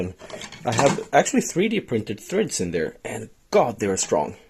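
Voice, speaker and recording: A man with a Swedish accent at a moderate pace amid noticeable background noise. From Sweden. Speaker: DIY maker, video host. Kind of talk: tutorial. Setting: workshop shed.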